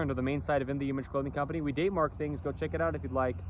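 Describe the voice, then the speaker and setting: Vocal fry marks a man's medium-pitched voice. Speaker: clothing company founder, vlogger. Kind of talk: casual monologue vlog. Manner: rambling, repetitive with fillers.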